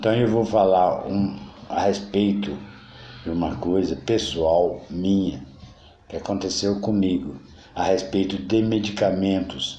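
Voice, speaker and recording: Very deep and low in pitch, a man speaks at a very slow pace with ordinary pitch variation and long, frequent pauses, and audible room echo can be heard. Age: 60s. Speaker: political commentator. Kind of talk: political monologue. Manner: halting.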